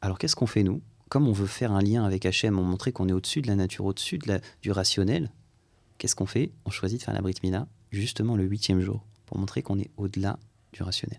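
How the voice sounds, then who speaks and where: A man speaks at a very fast pace, yet leaves long, frequent pauses. The recording is very clean, with a silent background. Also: fairly low pitch for a man, ordinary pitch variation. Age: 30s. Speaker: rabbi and mohel. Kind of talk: interview.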